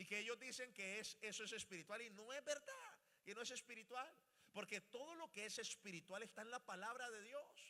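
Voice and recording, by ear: A man's bright, sharp voice, high in pitch, with ordinary pitch variation at a moderate pace.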